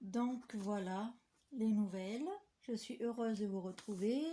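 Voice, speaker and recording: A woman speaks softly in a somewhat breathy voice. Her intonation is fairly even. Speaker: papercraft vlogger. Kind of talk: casual vlog chat. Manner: soft-spoken; hesitant with fillers. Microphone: no microphone, too quiet.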